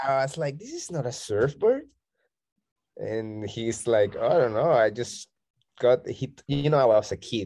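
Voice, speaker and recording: The speaker has a Colombian accent. The tone is dark and mellow. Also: man, medium pitch for a man, ordinary pitch variation, moderate pace. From Colombia, Barranquilla. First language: Spanish. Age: 30s. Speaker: bodyboarder and DJ. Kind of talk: casual interview chat. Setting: remote call.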